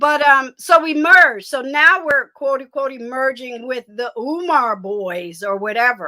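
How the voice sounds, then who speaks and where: A woman's high-pitched, bright, sharp, raised and projected voice, with an American accent, lively intonation and a fairly slow pace. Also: big swings in loudness. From Detroit, US. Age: 60s. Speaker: online commentator and military veteran. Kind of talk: casual live-stream chat.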